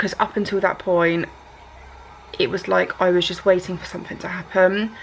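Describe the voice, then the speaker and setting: A woman with an English accent talks at a moderate pace and a medium pitch, her intonation monotone and flat. Her loudness swings widely, and there is noticeable background noise. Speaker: vlogger. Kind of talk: personal vlog. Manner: halting, occasional stutter.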